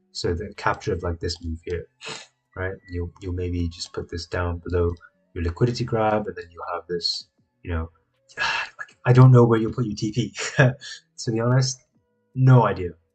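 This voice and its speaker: A man with an American accent speaks in a fairly low, somewhat breathy voice. His loudness swings widely. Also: ordinary pitch variation, moderate pace. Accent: half American, half English. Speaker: trading streamer. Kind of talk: live stream market analysis. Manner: casual, chatty.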